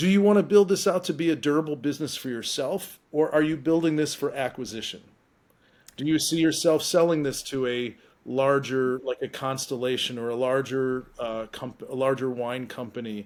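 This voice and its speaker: A man's normal speaking voice, fairly high in pitch, at a moderate pace with ordinary pitch variation on a very clean recording with a silent background. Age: 50s. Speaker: investor. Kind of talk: casual chat.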